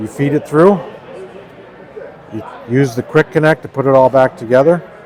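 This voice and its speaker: Speaking at a moderate pace with an American accent, a man uses a fairly high pitch and ordinary pitch variation over noticeable background noise. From New Hampshire, US. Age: 60s. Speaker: product maker, company owner. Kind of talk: product demonstration. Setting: trade show booth.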